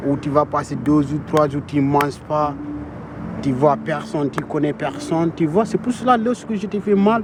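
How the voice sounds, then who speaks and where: Over noticeable background noise, a man with a fairly high pitch talks fairly slowly, his pitch varying in an ordinary way. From Senegal. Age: young. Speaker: migrant vocational student. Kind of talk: casual chat and testimony.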